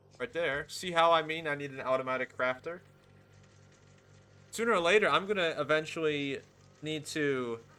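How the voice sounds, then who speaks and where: Over music in the background, a man talks at a moderate pace with long, frequent pauses and ordinary pitch variation. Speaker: gaming YouTuber. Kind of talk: gameplay commentary. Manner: halting.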